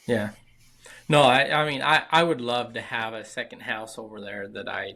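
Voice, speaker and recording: A man's bright, sharp voice in an American accent, with fairly even intonation at a moderate pace. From southern Utah. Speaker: construction company founder. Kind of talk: interview. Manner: halting, repeats words.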